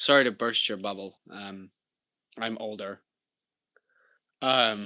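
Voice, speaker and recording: A man with an American accent speaks very slowly at a fairly low pitch, his tone bright and sharp and his intonation fairly even. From Indiana, US Midwest. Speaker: streamer. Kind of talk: casual chat. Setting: live stream from home kitchen. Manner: halting.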